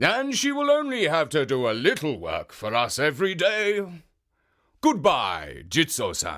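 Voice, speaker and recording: A man's put-on character voice, high in pitch and at a fairly slow pace, in a very clean recording with a silent background. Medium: read story.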